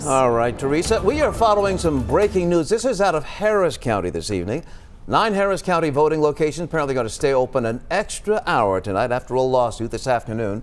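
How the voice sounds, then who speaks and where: A man talks at a very fast pace with hardly any pauses, his pitch swinging very widely while music plays in the background. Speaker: news anchor. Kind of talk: TV newscast anchor read.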